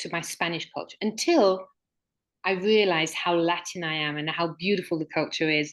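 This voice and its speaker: In a British accent, a woman speaks at a moderate pace against a quiet background. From Mexico, British community, English-born. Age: 60s. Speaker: author and regression therapist. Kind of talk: interview conversation. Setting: online livestream.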